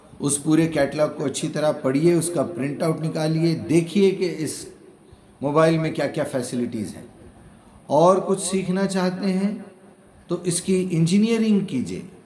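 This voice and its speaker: The voice has a dark, mellow tone and ordinary pitch variation, with a Hyderabadi accent. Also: man, fairly high pitch for a man. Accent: Hyderabadi Dakhni. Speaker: Quran translator and explainer. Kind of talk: religious lecture.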